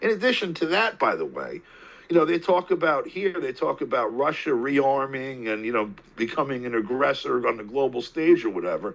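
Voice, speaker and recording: A man with an American accent talks at a fairly quick pace, his fairly high voice making very wide pitch swings. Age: 60s. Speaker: political commentator. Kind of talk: interview.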